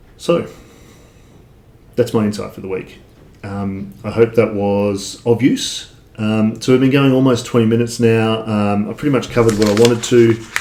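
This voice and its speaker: A medium-pitched man with fairly even intonation, over noticeable background noise. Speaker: online entrepreneur, affiliate marketer. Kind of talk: casual livestream talk to viewers. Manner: halting, many fillers.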